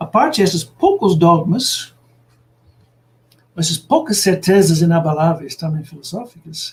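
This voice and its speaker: A man speaks in an English accent at a high pitch with ordinary pitch variation. His pace is fairly slow, broken by long, frequent pauses. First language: English (speaking Portuguese). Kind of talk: lecture. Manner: halting, many filler sounds.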